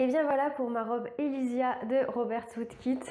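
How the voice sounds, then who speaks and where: Audible room echo surrounds a woman's voice. She speaks at a fairly high pitch with fairly even intonation. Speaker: sewing youtuber. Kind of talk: sewing vlog narration. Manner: hesitant with fillers.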